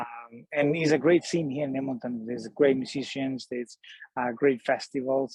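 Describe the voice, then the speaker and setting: A man with a Spanish accent talks at a moderate pace and medium pitch, his intonation fairly even. The sound is dry and close, with no echo. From Colombia. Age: 40s. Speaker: singer-songwriter. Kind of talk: podcast interview. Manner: halting, many fillers.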